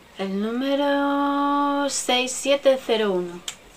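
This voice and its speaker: A woman talks with lively intonation over light background noise. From Spain. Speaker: beauty vlogger. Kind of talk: makeup product show-and-tell; casual product review chat. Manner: casual, chatty; halting. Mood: friendly, a bit unsure. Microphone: webcam.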